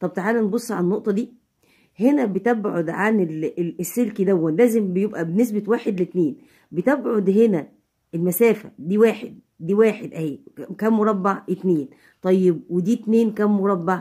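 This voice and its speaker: In an Egyptian accent, a woman speaks at a moderate pace and medium pitch with ordinary pitch variation and a dark, mellow tone, against a quiet background. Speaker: physics teacher. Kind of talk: tutorial. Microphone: phone near.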